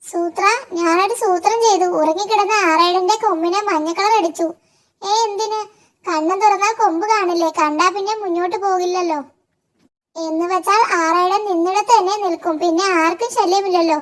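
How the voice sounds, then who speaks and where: A cartoonish character voice, extremely high-pitched and fairly slow. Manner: naive, earnest.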